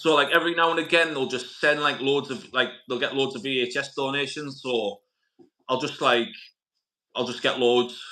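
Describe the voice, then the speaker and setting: With a northern English accent, a man with a fairly high pitch and a bright, sharp tone speaks at a moderate pace with fairly even intonation. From northern England, Middlesbrough. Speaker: YouTube channel host, movie collector. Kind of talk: casual chat. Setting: live stream interview.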